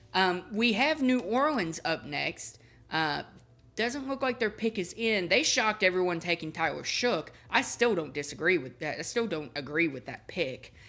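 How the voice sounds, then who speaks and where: A woman's voice makes very wide pitch swings. The recording is very clean, with a silent background. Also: medium pitch for a woman, moderate pace. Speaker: sports livestreamer. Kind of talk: live commentary. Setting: livestream. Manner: halting.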